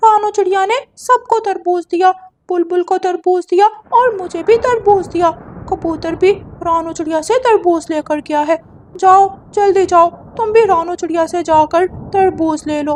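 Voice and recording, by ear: A cartoonish character voice pitched extremely high. It moves at a moderate pace.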